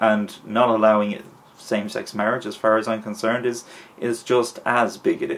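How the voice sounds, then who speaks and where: Someone speaks at a fairly quick pace in an Irish accent. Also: man. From Ireland. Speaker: vlogger. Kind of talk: opinion vlog. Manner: hesitant with fillers.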